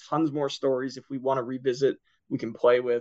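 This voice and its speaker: A man speaks with fairly high pitch and monotone, flat intonation over a quiet background. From Philadelphia, US. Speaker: comic book writer and sales manager. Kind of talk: casual interview.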